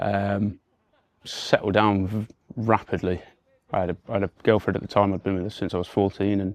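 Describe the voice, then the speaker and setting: A man with an English Midlands accent talks at a fairly quick pace in a fairly low pitch, his intonation monotone and flat. He leaves long, frequent pauses, and the sound is dry and close with no echo. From England, Warwickshire. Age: 30s. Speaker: recovering addict. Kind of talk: testimony. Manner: halting, many fillers and repetitions.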